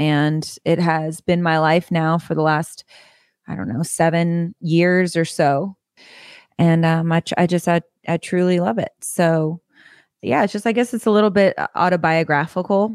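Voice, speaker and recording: A woman with an American accent in a normal speaking voice, fairly low in pitch and fairly slow, with ordinary pitch variation, a dry, close sound with no echo, and a very clean recording with a silent background. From California suburbs. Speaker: country singer-songwriter. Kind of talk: interview.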